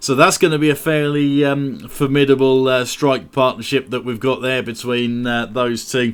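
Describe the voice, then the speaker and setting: A man with an English accent keeps a medium pitch and fairly even intonation, speaking at a moderate pace with hardly any pauses. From England. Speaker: gaming YouTuber. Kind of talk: gameplay commentary. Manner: casual, many fillers.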